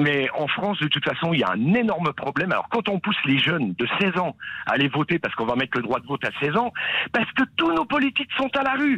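Against noticeable background noise, a man speaks at a high pitch and a fairly quick pace, his pitch swinging very widely while his loudness stays very even. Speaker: caller. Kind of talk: phone call, rant about abstention. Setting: phone call. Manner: emphatic, insistent.

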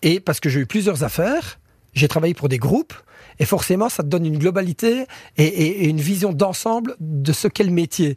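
A high-pitched man's voice, fairly quick and lively in intonation, in a very clean recording with a silent background. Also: dry, close sound with no echo. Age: 30s. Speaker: chef, cooking contest finalist. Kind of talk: interview. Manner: halting, frequent repetitions.

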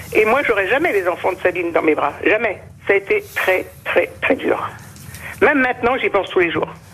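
Against noticeable background noise, a woman speaks at a moderate pace with very even loudness. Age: old. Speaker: victim's mother. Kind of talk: emotional testimony.

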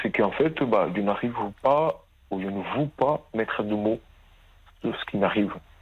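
The speaker keeps a moderate pace and ordinary pitch variation, with long, frequent pauses. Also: man. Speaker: caller. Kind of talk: testimony. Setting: phone call. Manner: halting.

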